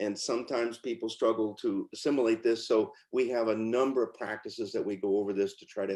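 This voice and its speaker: Against a quiet background, a man rattles along at a very fast pace with hardly any pauses, medium pitch, monotone, flat intonation and big swings in loudness. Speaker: presenter demonstrating a pronunciation teaching program. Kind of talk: webinar product demonstration.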